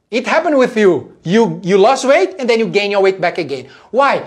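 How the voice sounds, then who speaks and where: A man speaks in a high voice with a Portuguese accent. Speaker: fitness coach. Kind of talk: live stream talk. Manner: animated.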